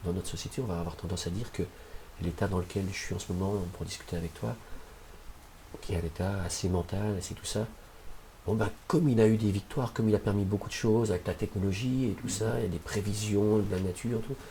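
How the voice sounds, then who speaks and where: Talking very fast yet with long, frequent pauses, a man uses a fairly low pitch and ordinary pitch variation. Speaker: shamanic practitioner. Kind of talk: interview.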